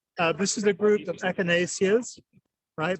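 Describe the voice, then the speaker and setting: The voice has an English accent and ordinary pitch variation. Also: man. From England. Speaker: plant industry representative. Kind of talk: trade show interview. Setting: trade show floor.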